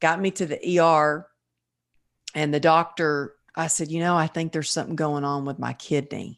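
A woman's very deep, low voice in a monotone, flat delivery at a moderate pace, against a quiet background. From Texas. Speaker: wellness coach and author. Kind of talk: interview.

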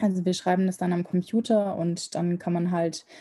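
A woman's somewhat breathy voice has a dark, mellow tone and monotone, flat intonation. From Germany. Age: 20s. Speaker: medical student. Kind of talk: casual interview.

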